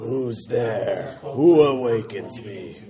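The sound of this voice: A man puts on a rumbling character voice at a medium pitch. Clear background noise can be heard behind him.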